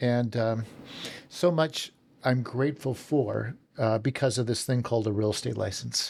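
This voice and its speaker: A man with a Western Canadian accent speaks at a moderate pace in a medium pitch with ordinary pitch variation. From Canada, southern Alberta. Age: 60s. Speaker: real estate team leader. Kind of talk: podcast interview. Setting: office.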